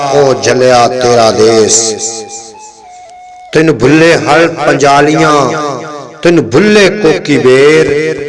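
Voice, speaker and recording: Music plays behind a man whose voice sits fairly high in pitch. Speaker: poetry reciter. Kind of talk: poetry reading.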